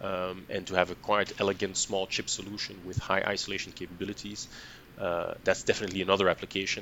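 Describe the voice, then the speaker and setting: A man speaks very fast in a very deep, low voice with monotone, flat intonation. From Belgium. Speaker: product line manager. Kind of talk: interview.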